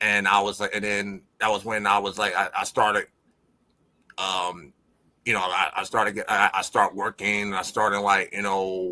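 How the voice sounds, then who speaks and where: Bright and sharp in tone, this voice has an American accent, a monotone, flat delivery, and a moderate pace. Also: man, fairly low pitch for a man. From Buffalo, New York. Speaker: music producer. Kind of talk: interview answer.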